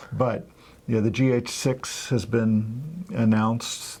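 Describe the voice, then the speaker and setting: Soft-spoken, somewhat breathy man at medium pitch, very slow pace, ordinary pitch variation. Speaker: photography video co-host. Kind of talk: casual chat. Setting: studio.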